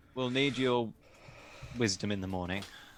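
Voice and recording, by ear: Intonation is lively and the tone bright and sharp. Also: man.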